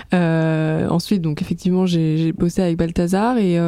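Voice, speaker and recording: A woman's dark, mellow voice at medium pitch, delivered at a fairly slow pace. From Aix-en-Provence, southern France. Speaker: pop singer. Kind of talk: casual chat. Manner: hesitant, many fillers.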